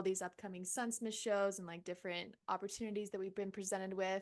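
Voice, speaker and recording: Against a quiet background, a woman with a plain, everyday voice speaks at a medium pitch with fairly even intonation. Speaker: musician. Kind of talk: interview. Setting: home studio.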